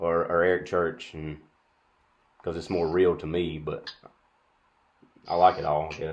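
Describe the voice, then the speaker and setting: A man with an American accent at a moderate pace against a quiet background. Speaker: music student and interviewer. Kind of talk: interview. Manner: halting.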